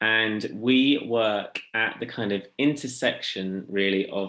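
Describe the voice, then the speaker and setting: A man's fairly low voice with an English accent, bright and sharp in tone, with fairly even intonation. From England. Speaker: social enterprise founder and theologian. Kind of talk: workshop presentation. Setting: video call workshop.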